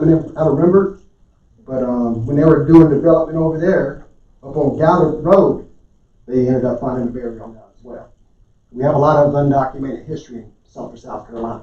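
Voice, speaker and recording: A man speaks at a fairly quick pace with a fairly high pitch, a dark, mellow tone and some breathiness. His loudness swings widely, his pitch varies in an ordinary way, and room echo is audible. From Oklahoma. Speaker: public commenter. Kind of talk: public comment at council meeting. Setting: county council meeting.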